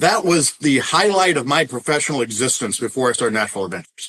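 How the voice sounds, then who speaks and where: Very fast and full of lively intonation, a man with an American accent speaks in a bright, sharp tone marked by vocal fry. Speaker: tour company founder. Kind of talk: podcast interview.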